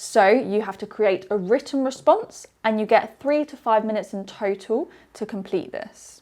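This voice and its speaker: With a British accent, a woman speaks at a fairly high pitch and ordinary pitch variation. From UK. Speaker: English teacher. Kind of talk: webinar presentation. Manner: clear, explanatory.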